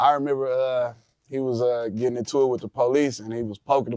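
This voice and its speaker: A man with a normal speaking voice and an American accent talks at a fairly quick pace, his pitch medium. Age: 40s. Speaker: music producer. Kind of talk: interview.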